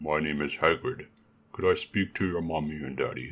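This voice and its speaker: Putting on a character voice, a man drops into a very deep, low pitch. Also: moderate pace. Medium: read story. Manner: warm, calm, kindly.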